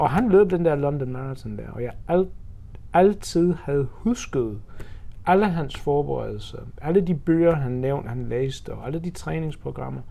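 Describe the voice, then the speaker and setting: Someone with an English accent speaks at a fairly slow pace, with big swings in loudness. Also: man. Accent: English accent in Danish. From England, Birmingham and Oxford. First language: English (speaking Danish). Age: 40s. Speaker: amateur marathon runner and charity fundraiser. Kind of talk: interview. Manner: halting.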